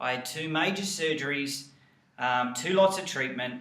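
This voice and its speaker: Audible room echo surrounds an enthusiastic tone in an Australian accent. The pace is moderate, with ordinary pitch variation. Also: man. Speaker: health coach and network marketing team leader. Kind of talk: motivational team training video.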